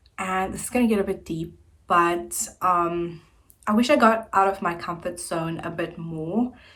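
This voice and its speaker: A somewhat breathy woman speaks at a fairly slow pace with ordinary pitch variation. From South Africa, Centurion, Gauteng. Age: 20s. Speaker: YouTuber. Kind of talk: casual vlog chat.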